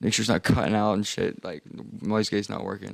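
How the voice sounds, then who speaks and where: This is a man with a fairly low pitch. He speaks with an American accent. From United States. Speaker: music producer streamer. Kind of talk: casual livestream chat. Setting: livestream.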